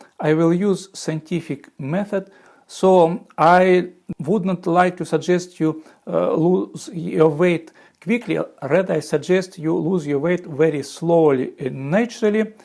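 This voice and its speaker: The speaker goes at a very slow pace with a strong Russian accent and ordinary pitch variation. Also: man. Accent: heavy Russian. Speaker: former physicist and software engineer. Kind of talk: video explainer. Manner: halting, with fillers.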